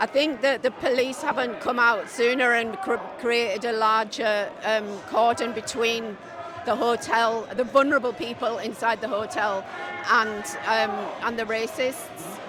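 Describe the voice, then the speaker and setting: A woman in a Yorkshire accent at a fairly slow pace, with ordinary pitch variation, audible room echo and music in the background. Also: fairly high pitch for a woman. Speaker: counter-protester. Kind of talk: street interview. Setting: outdoors at a street protest.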